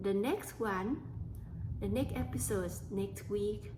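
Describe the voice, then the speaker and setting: With audible room echo, a woman with a Thai accent speaks very slowly in a somewhat breathy voice. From Thailand. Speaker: podcast host. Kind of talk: personal storytelling monologue. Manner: halting.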